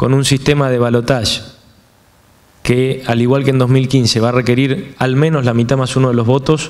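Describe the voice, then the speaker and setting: Moderate pace and fairly even intonation from a man, medium in pitch. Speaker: politician. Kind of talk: speech. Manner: formal.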